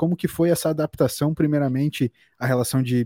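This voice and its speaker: A man talks at a fairly quick pace in a fairly high voice. His tone is dark and mellow, and the sound is dry and close with no echo. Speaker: podcast host. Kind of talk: casual chat. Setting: video call.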